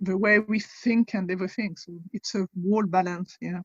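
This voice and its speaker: In a French accent, a woman of medium pitch speaks at a moderate pace with a somewhat breathy voice and monotone, flat intonation, in a dry, close sound with no echo. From France. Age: 40s. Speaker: convert guest, wellness and nutrition coach. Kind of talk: interview.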